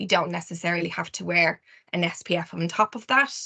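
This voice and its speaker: In an Irish accent, a woman talks at a fairly quick pace with fairly even intonation, a fairly low pitch, and a bright, sharp tone. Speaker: skincare specialist. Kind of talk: webinar presentation. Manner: fast.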